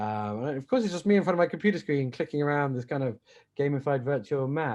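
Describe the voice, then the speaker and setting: A man's very fast, fairly high voice with a British accent and lively intonation. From Britain. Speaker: entrepreneur. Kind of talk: casual chat. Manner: halting.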